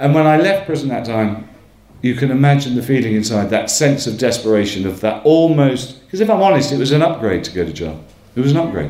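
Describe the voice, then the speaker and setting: Amid noticeable background noise, a man rushes along at a very fast pace with very wide pitch swings. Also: medium pitch for a man. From northern England, Northumberland. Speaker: storyteller, show host. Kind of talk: live storytelling. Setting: stage with audience.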